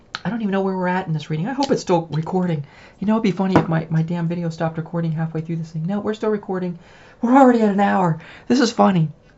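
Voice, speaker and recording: The delivery is very fast. The voice is somewhat breathy. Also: woman, fairly low pitch for a woman. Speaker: tarot reader and witch. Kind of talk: solo tarot reading video. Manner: casual, conversational.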